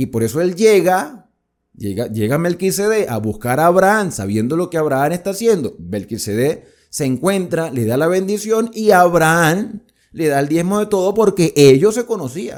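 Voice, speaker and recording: A man speaks at a moderate pace and high pitch, animated and with very wide pitch swings. The recording is very clean with a silent background. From Venezuela, Colombian border region. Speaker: Bible teacher. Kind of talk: Bible study lecture. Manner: animated, conversational with rhetorical questions.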